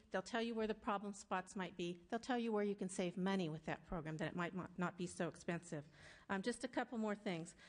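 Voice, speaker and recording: At a fairly quick pace, a woman talks with a medium pitch and ordinary pitch variation. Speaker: school district administrator. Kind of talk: public testimony. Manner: fast.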